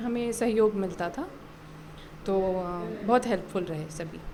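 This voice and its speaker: A woman's voice at a medium pitch, rising and falling in an ordinary way, comes through noticeable background noise. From Bihar, India. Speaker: civil services exam qualifier, government officer. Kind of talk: interview answer.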